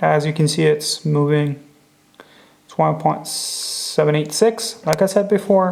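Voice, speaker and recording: Soft-spoken and fairly slow, a man with a fairly high pitch and ordinary pitch variation shows big swings in loudness. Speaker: watch restorer. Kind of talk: tutorial. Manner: halting.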